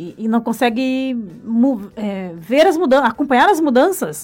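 On a very clean recording with a silent background, a woman speaks at a fairly slow pace with lively intonation. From Brazil, rural Paraná. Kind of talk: radio interview. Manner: halting, with repetitions.

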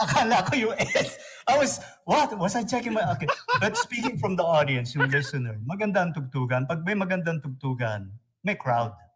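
Pitched high, the man talks at a moderate pace while his voice swings very widely up and down. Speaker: radio announcer. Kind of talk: casual chat. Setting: video call.

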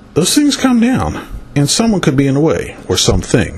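Audible room echo surrounds a man who speaks at a moderate pace with lively intonation in an American accent. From northern US. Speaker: spiritual consultant, angel card reader. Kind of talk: solo monologue, card reading. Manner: meandering, many fillers.

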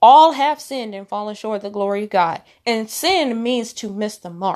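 In a normal speaking voice, a woman talks at a moderate pace with fairly high pitch and ordinary pitch variation, against a quiet background. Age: 20s. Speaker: podcast host and prophetic minister. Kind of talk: casual religious teaching monologue.

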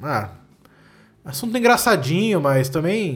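With music in the background and audible room echo, a man speaks at a moderate pace. His intonation is lively. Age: 20s. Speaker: comedian podcast host. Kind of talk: solo comedic monologue. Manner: animated, ranting.

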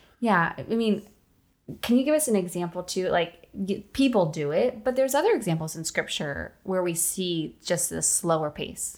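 A woman at a medium pitch and moderate pace, lively intonation, in a very clean recording with a silent background. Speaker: podcast co-host, ministry leader. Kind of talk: casual faith chat. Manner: emphatic greeting.

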